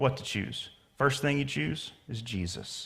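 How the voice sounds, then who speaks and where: With a slight Southern US accent, a man speaks through vocal fry and very wide pitch swings, with audible echo in the room. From US South. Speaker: pastor. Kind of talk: sermon. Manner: casual, conversational.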